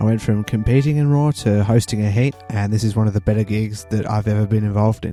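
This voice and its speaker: Over music in the background, a man with an Australian accent talks at a very fast pace in a fairly low voice with fairly even intonation. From Tasmania, Australia. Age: 20s. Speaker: stand-up comedian. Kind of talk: casual talk to camera.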